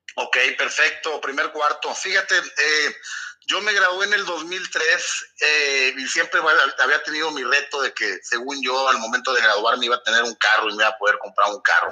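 There is noticeable background noise behind this man. His fairly high voice moves at a moderate pace with lively intonation. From Torreón, Coahuila, northern Mexico. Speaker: businessman in the hydrocarbons sector. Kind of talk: casual interview.

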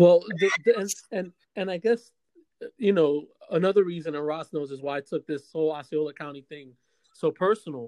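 The speaker talks at a fairly quick pace. Long pauses come often. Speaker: podcast host. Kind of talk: casual chat. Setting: video call. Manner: loud, animated.

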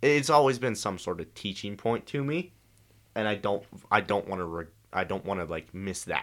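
In a very clean recording with a silent background, a normal speaking voice moves at a moderate pace with lively intonation. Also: man, fairly low pitch for a man. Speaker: guest. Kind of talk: casual chat.

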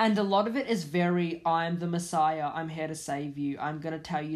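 At a moderate pace, a woman with an ordinary speaking voice talks in a fairly low pitch with ordinary pitch variation, on a very clean recording with a silent background. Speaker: podcast host. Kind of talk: angry rant; solo podcast monologue.

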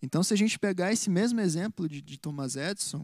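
Pitched high for a man, his voice runs at a fairly quick pace with ordinary pitch variation. The recording is very clean, with a silent background and a dry, close sound with no echo. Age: 20s. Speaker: church musician and co-host. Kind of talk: casual chat. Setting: live stream.

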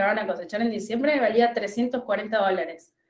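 Speaking with a Rioplatense accent, a woman talks at a moderate pace. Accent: Argentine Spanish (rioplatense). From Argentina, La Pampa. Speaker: agronomist and commodities market advisor. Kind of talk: interview.

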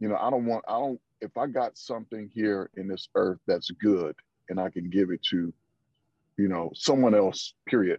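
A man with an American accent and an unremarkable speaking voice, at a fairly low pitch, moderate pace and fairly even intonation. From Flint, Michigan. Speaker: team leader. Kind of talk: casual conversation.

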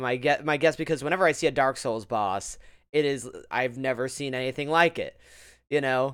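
An ordinary speaking voice from a man, medium in pitch, fairly quick in pace, with ordinary pitch variation. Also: very clean recording, silent background. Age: 30s. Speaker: podcast host and streamer. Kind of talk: casual chat.

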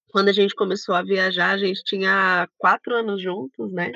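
A woman speaks at a medium pitch. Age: 30s. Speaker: travel YouTuber, former systems analyst. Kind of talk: casual interview chat.

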